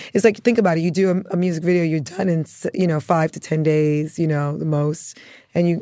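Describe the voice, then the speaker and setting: A woman's fairly quick, fairly low-pitched voice with a dark, mellow tone and fairly even intonation. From Bronx, New York (born in Antigua). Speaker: costume designer and stylist. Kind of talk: interview.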